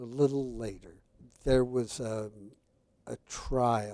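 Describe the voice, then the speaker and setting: A man's medium-pitched voice with a dark, mellow tone and fairly even intonation. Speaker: geneticist professor. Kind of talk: interview. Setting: conference venue. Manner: slow; deliberate.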